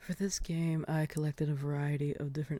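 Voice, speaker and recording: The pace is on the quick side. This speaker is soft-spoken. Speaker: ASMR creator. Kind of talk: ASMR soft-spoken guessing game, talking to the listener.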